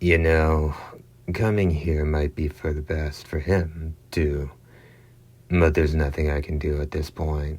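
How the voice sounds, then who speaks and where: A man's hoarse, put-on character voice, very deep and low, at a fairly slow pace. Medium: read story. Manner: sardonic, casual.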